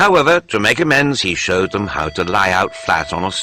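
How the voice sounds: The speaker uses a natural reading voice.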